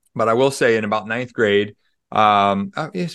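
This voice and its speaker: Against a quiet background, a man with a Midwestern American accent talks at medium pitch. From US Midwest (Des Moines, Iowa). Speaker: author and pastor. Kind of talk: interview.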